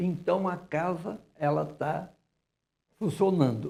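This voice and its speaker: A man speaks at a very slow pace in a somewhat breathy voice. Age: 80s+. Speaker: director of a historic house museum. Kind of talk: TV interview.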